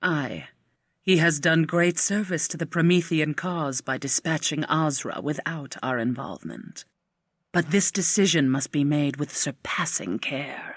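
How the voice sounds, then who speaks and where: The voice is a put-on character voice. It sits at a middle pitch and moves at a moderate pace. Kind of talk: archaic theatrical speech. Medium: video game. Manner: measured, imperious.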